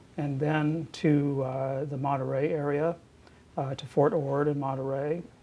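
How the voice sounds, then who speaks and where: Here a man speaks at a fairly high pitch, somewhat breathy. His intonation is monotone and flat. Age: 60s. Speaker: university president and physician. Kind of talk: oral history interview. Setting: office. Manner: hesitant, many fillers and repetitions.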